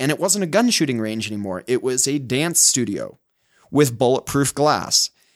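A man speaks with a Utah accent and ordinary pitch variation. The recording is very clean, with a silent background. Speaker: life coach. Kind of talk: casual interview chat. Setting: studio.

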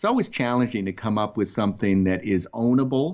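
Over a quiet background, the speaker talks with a slight Boston accent and ordinary pitch variation. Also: man. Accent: barely any Boston. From Boston, Massachusetts. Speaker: tech startup founder and marketing executive. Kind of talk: interview. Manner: halting, repeats words.

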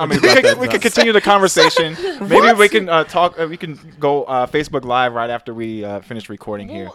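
Over noticeable background noise, a man with a fairly high pitch talks at a moderate pace, his pitch swinging very widely and his loudness shifting a lot. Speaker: podcast host. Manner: little inflection, stays on one pitch.

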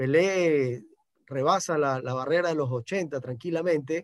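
A man with a fairly high pitch speaks at a fairly slow pace, with ordinary pitch variation. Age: 40s. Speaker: sports journalist. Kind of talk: radio interview. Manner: halting, many repetitions and fillers.

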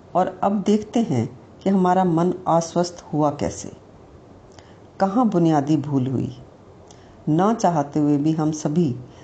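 A woman with a fairly low pitch, a dark, mellow tone, some breathiness, lively intonation, and long, frequent pauses. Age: 60s. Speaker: mental wellness teacher. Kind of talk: reflective talk.

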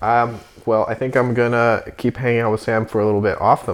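This is an ordinary speaking voice, a man with an American accent talking at a moderate pace and a medium pitch. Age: 20s. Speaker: podcast host. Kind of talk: casual interview; solo sign-off monologue. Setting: indoors by a heater.

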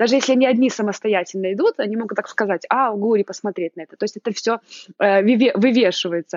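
Talking at a very fast pace, a woman with a fairly high pitch sounds animated throughout. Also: ordinary pitch variation. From Belarus. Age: 30s. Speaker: mother living abroad. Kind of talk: interview.

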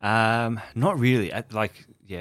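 Very slow speech in an Australian accent carries ordinary pitch variation. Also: man. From Melbourne, Australia. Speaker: chef and food business founder. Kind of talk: interview.

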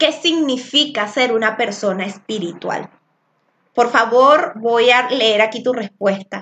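Very slowly, a woman speaks in a fairly high pitch with ordinary pitch variation. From Venezuela. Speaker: spiritual coach and tarot teacher. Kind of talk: live-streamed spiritual class. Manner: loud.

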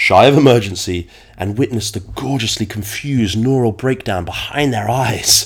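A man talks at a moderate pace with medium pitch and ordinary pitch variation, over noticeable background noise. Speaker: fitness podcast host. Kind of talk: solo monologue.

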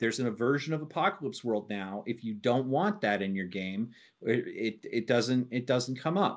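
On a very clean recording with a silent background, a man with an unremarkable speaking voice talks at a moderate pace in a medium pitch, using lively intonation. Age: 30s. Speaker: tabletop gamer, prospective podcast co-host. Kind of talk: casual chat.

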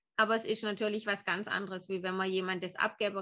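A woman speaks at a medium pitch in a bright, sharp tone. Her intonation is monotone and flat. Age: 40s. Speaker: emotion coach. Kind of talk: casual interview.

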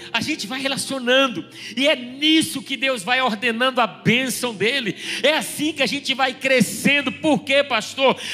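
Over noticeable background noise, a man with an extremely high pitch projects a raised voice at a fairly slow pace with ordinary pitch variation. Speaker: pastor. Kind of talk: sermon.

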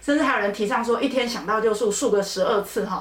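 A woman's animated, very fast speech amid noticeable background noise and audible room echo. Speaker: dermatologist. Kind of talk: educational podcast chat.

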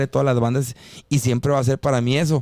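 A man with a plain, everyday voice talks fairly quickly at a fairly high pitch, in a dry, close sound with no echo. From Mexico, Mexicali (Baja California). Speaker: singer. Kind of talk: casual chat.

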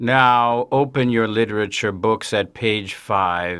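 A man performs a robotic, put-on character voice at medium pitch. He speaks at a fairly slow pace.

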